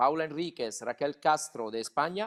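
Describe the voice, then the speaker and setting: Someone speaks with an Italian accent and ordinary pitch variation. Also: man. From Italy. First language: Italian (speaking Spanish). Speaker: lawyer, panel moderator. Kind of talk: panel moderation.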